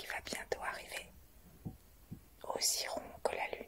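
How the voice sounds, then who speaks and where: A woman whispers in a calm tone over noticeable background noise. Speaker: guided meditation teacher. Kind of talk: whispered guided meditation. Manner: whispered, slow, calm.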